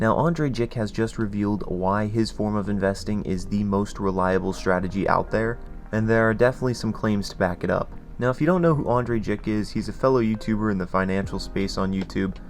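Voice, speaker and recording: A man talks at a fairly quick pace with ordinary pitch variation. Music plays in the background. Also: fairly low pitch for a man. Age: young. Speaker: finance YouTuber. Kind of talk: casual talk to camera.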